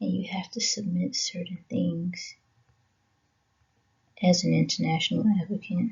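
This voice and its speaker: The pace is fairly slow. The speaker is a woman. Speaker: education channel host. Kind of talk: slideshow presentation narration. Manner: subdued, not very enthusiastic.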